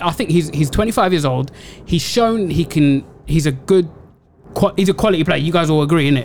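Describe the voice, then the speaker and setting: With a London accent, a man speaks in very even loudness and ordinary pitch variation, leaving long, frequent pauses against noticeable background noise. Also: fairly high pitch for a man, moderate pace. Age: 30s. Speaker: football podcast co-host. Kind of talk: casual chat.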